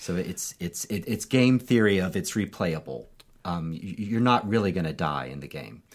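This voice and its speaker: Lively intonation and vocal fry from a man with a very deep, low pitch, at a moderate speed. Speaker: podcast host; occasional preacher. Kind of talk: casual conversation.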